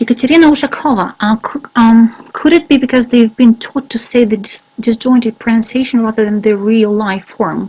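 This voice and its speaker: With a Russian accent, a woman speaks at a fairly quick pace with a fairly high pitch and ordinary pitch variation. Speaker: English teacher trainer. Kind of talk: webinar Q&A. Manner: halting, many fillers.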